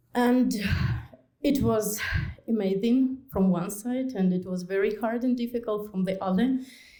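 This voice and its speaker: A woman with a Ukrainian accent at a fairly slow pace, with ordinary pitch variation and audible room echo. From Ukraine. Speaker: refugee newcomer. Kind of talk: testimony speech. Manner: halting.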